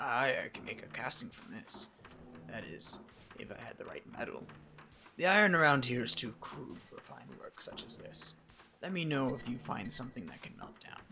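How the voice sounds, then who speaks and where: Using a put-on character voice, a man talks at a moderate pace and medium pitch. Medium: game stream. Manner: gruff, blunt.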